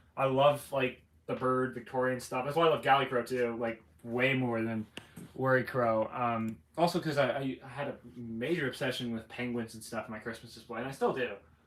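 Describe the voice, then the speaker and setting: A man speaks with a Canadian accent and fairly even intonation. Noticeable background noise runs underneath. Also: medium pitch for a man, moderate pace. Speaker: live streamer setting up Halloween animatronics. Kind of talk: live stream casual chat. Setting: home garage. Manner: casual, hesitant with fillers and repeats.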